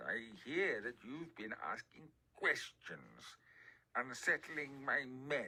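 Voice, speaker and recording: A man puts on a character voice pitched fairly high. He speaks at a very slow pace. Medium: read story.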